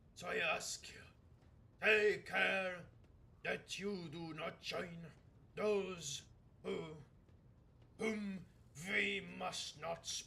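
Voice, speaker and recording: In a raspy, high-pitched put-on character voice, a man talks at a very slow pace with long, frequent pauses. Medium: virtual streamer. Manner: solemn, archaic.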